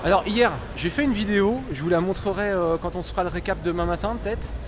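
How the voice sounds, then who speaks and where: This man talks at a very fast pace. Noticeable background noise and audible room echo are present. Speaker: gaming streamer. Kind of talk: live walkthrough stream. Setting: trade show floor. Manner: casual, animated; loud.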